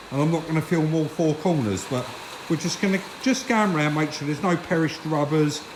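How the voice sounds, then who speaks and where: Over noticeable background noise, a man with a fairly high voice speaks at a fairly quick pace with ordinary pitch variation. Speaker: car restoration youtuber. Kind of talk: casual vlog narration. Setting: in a car. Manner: loud, speaking up over noise.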